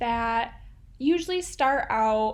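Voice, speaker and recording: This woman speaks with a Midwestern accent. Her pitch is high, with ordinary variation. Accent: Midwestern, nasal. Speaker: art tutorial creator. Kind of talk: tutorial. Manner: casual, chatty.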